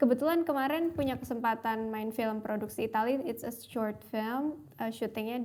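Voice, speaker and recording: Here a woman speaks at a moderate pace. Her pitch is fairly high. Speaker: film actress. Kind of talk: casual interview chat.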